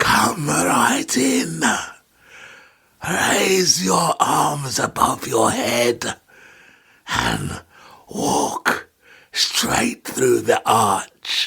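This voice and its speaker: Using a raspy, put-on character voice, a man speaks at a very slow pace with very even loudness and long, frequent pauses. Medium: audio drama. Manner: mocking, menacing, laughs at his own remarks.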